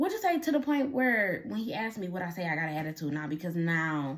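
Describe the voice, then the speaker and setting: A woman speaks at a moderate pace, sounding somewhat breathy. Her pitch swings very widely. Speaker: podcast host. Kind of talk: solo podcast monologue. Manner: soft-spoken.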